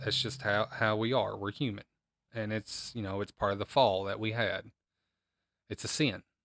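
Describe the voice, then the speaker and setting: A man speaks at a moderate pace and fairly low pitch with long, frequent pauses, on a very clean recording with a silent background and a dry, close sound with no echo. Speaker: podcast host who teaches the Bible. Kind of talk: Bible teaching podcast with prayer. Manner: trying to sound more upbeat and excited, not monotone.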